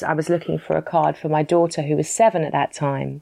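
A woman's very deep, low voice with a British accent. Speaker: author and entrepreneur. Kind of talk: interview.

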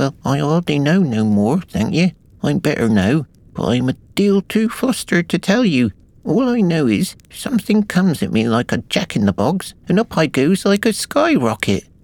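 Using a put-on character voice, a man sounds squeaky and fairly high, with very wide pitch swings, very even loudness, and a moderate pace. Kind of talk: rustic, colloquial.

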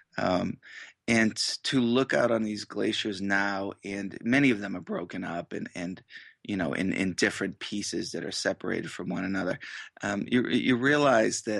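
At a moderate pace and fairly low pitch, a man speaks with ordinary pitch variation, in a dry, close sound with no echo and a quiet background. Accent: New England. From Massachusetts. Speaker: author and magazine editor. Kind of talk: radio interview. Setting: phone interview from home.

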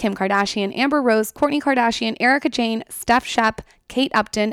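A woman's fairly high, fairly bright voice with a clear, smooth tone and ordinary pitch variation at a moderate pace, in a very clean recording with a silent background and a dry, close sound with no echo

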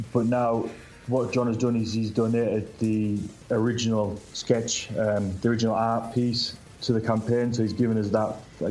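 Audible room echo surrounds a man with a fairly low pitch. He talks at a moderate pace in monotone, flat intonation. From Britain. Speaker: comic book creator. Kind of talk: casual chat.

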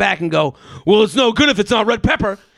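A man with an American accent and a high pitch speaks in an animated tone with very wide pitch swings, in a dry, close sound with no echo. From Boston. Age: 30s. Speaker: podcaster. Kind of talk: casual chat.

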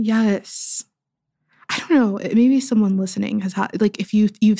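A woman speaks at medium pitch in a dark, mellow tone. Her voice is somewhat breathy. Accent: American. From US, Pittsburgh. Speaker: writer and poet. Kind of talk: casual interview conversation.

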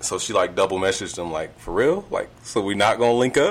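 A man is speaking. His pace is moderate. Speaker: podcast host. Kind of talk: casual chat. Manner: animated.

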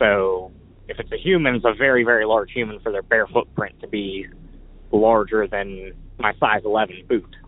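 With an American accent, a man talks in a normal speaking voice at a moderate pace, fairly low in pitch and with fairly even intonation. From Pittsburgh, Pennsylvania. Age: 20s. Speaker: caller. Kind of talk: storytelling.

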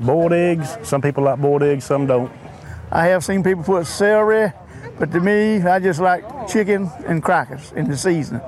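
A man speaks with a Southern US accent at a high pitch, his intonation lively and his loudness very even. The pace is moderate, and there is noticeable background noise. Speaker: veteran and cook-off contestant. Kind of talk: interview. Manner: stammering.

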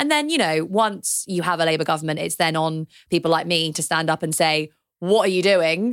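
A woman with a British accent at a fairly quick pace, fairly low in pitch with fairly even intonation, in a very clean recording over a silent background. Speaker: economist and author. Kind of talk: casual political discussion.

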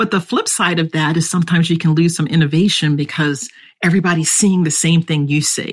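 Very fast and very even in loudness, a woman with an American accent speaks in a somewhat breathy, fairly low-pitched voice with fairly even intonation. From US East Coast. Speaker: security engineering executive. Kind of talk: interview.

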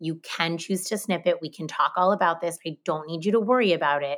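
A woman in an ordinary speaking voice talks at a fairly low pitch and a fairly quick pace. The recording is very clean, with a silent background. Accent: American. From New Jersey and Massachusetts. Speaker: college counselor, new mother. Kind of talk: birth story interview.

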